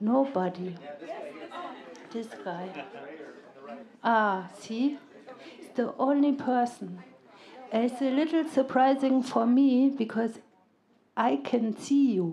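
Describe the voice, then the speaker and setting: Her voice high in pitch, a woman with a German accent speaks at a very slow pace with long, frequent pauses. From Germany. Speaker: stand-up comedian. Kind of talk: live stand-up comedy set. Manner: monotonous, deadpan.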